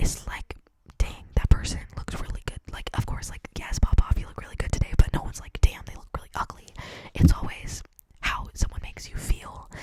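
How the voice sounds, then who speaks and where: A woman whispers at a fairly quick pace amid noticeable background noise. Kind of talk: ASMR whisper ramble to camera. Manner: whispered, clicky, intimate; casual, chatty, conversational.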